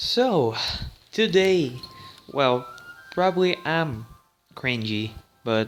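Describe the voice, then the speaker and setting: There is music in the background. Over it, a man talks with lively intonation. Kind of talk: casual gaming commentary. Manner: stuttering.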